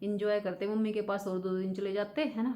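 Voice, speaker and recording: A woman talks at medium pitch. She is soft-spoken. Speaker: vlogger. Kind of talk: casual vlog chat. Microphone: no external mic, voice comes out quiet.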